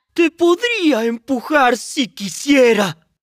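A cartoonish character voice, high in pitch, moves along at a very slow pace. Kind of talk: cartoon fan dub. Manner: loud, dismissive.

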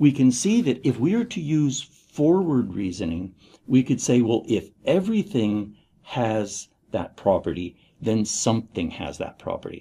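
The voice is somewhat breathy, with a dark, mellow tone. Its pitch swings very widely. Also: man, medium pitch for a man, fairly slow pace. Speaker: university lecturer. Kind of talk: lecture. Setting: recorded video lecture. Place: studio.

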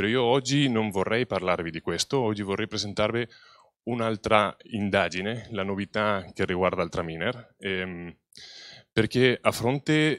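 An unremarkable speaking voice moves at a fairly slow pace with ordinary pitch variation, the sound dry with no echo against a quiet background. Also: man, fairly low pitch for a man. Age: young. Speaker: wine researcher; presenter. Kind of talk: conference talk. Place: hall. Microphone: handheld.

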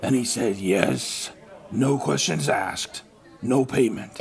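A man speaks at a fairly slow pace, his pitch sitting in the medium range. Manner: dry, skeptical.

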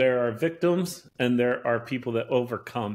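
An American-accented man speaks in an ordinary speaking voice at medium pitch and moderate pace. His pitch variation is ordinary, and the recording is very clean with a silent background. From upstate New York. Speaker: podcast host. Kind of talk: casual chat.

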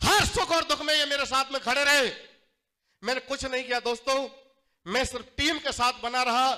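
Against a quiet background, a man uses a raised, projected voice with a bright, sharp tone, fairly even intonation and a moderate pace. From Jattari, Aligarh district, Uttar Pradesh, India; Uttar Pradesh, India. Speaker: network marketing distributor, former juice seller; former juice seller. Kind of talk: motivational stage speech. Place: hall.

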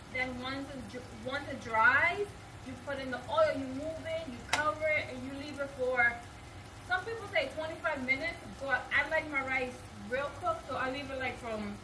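A woman speaks in a raised, projected voice with ordinary pitch variation. Noticeable background noise runs underneath. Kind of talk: casual cooking tutorial. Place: kitchen. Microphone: camera far.

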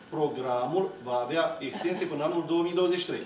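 A man speaks with a fairly high pitch. Noticeable background noise runs underneath. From Romania. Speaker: public official. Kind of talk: formal public speech. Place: meeting room. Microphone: podium.

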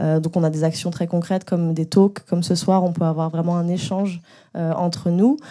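In a dark, mellow tone, a woman speaks at a fairly quick pace against a quiet background. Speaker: panel moderator. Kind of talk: panel moderation. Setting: stage with audience. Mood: friendly, smiling. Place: hall. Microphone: handheld.

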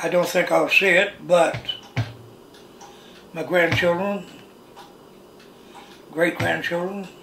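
Over music in the background and audible room echo, a man with an American accent speaks very slowly in a high, monotone, flat voice, with long, frequent pauses. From Missouri, USA. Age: 80s+. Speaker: farmer. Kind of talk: interview answer. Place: kitchen.

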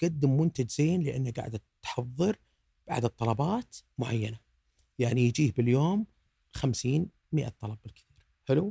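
The sound is dry with no echo and a quiet background. A man speaks with a dark, mellow, somewhat breathy tone and lively intonation. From Saudi Arabia. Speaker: food blogger; podcast guest, food blogger. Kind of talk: casual chat. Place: studio. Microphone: studio mic.

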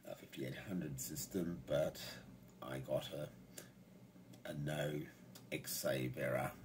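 Noticeable noise fills the background. Over it, a man talks very slowly, leaving long, frequent pauses. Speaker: hobbyist computer user. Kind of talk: casual tech tutorial narration. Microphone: phone near.

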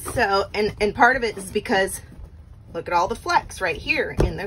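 A woman speaks at a moderate pace, and light background noise can be heard. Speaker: vacation rental host. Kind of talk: casual vlog chat. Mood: mildly frustrated, grossed out. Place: bathroom. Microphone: phone near.

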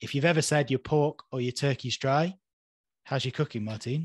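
Somewhat breathy, a man talks at a moderate pace with ordinary pitch variation, the sound dry with no echo and the background quiet. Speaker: podcast host. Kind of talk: casual chat. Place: home room. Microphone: webcam.

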